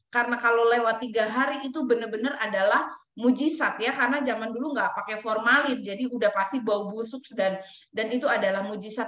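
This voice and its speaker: Audible room echo surrounds a woman speaking fairly quickly at a fairly high pitch with ordinary pitch variation. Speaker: preacher. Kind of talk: sermon; testimony.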